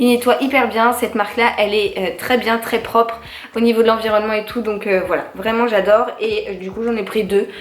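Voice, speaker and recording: A woman's fairly high-pitched voice at a moderate pace, with audible room echo and noticeable background noise. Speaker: lifestyle youtuber. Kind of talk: shopping haul monologue. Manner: hesitant, many fillers.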